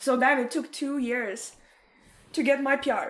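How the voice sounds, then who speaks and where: Her voice sits high in pitch for a woman. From Ukraine, Odessa. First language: Russian. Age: 20s. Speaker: podcast guest. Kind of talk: casual chat. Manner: animated.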